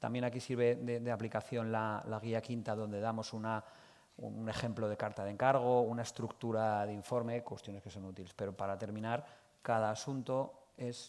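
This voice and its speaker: A medium-pitched male voice with monotone, flat intonation at a fairly quick pace. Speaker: accounting expert, conference speaker. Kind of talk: conference talk. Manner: fast; hesitant, many fillers.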